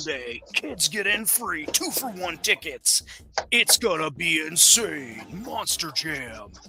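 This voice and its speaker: Against clear background noise, a put-on character voice speaks at a fairly slow pace. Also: man, fairly high pitch for a man. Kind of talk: radio commercial. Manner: loud, hyped announcer.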